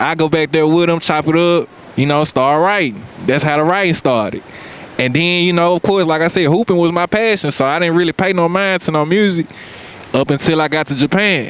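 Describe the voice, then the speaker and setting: Noticeable background noise sits behind a man with a high pitch who talks at a fairly quick pace with very even loudness. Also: ordinary pitch variation. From US South, Memphis, Tennessee. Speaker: rapper. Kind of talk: casual interview chat. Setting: outdoors on a beach.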